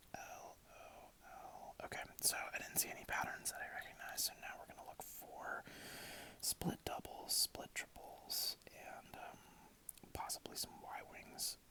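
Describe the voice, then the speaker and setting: Someone whispers at a fairly slow pace. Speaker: ASMR creator. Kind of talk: ASMR gameplay commentary. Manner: whispered.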